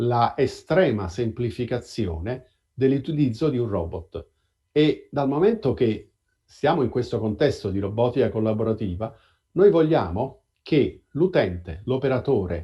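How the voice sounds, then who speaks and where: A man speaks fairly slowly at a medium pitch, somewhat breathy, with lively intonation. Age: 60s. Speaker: robotics professor. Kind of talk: interview. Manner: halting, with repetitions.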